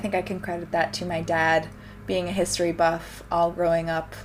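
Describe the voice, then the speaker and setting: A woman's fairly low voice over music in the background. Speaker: vintage fashion vlogger. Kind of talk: casual Q&A vlog.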